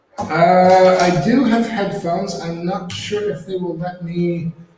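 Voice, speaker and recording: A man with an American accent, high-pitched, with ordinary pitch variation at a very slow pace. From US Midwest, Ohio. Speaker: board game rules editor. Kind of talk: casual chat.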